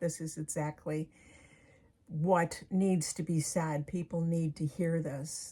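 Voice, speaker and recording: A somewhat breathy woman speaks at a fairly low pitch and fairly slow pace, with fairly even intonation. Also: very clean recording, silent background. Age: 70s. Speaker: author and medium. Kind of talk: casual talk to camera.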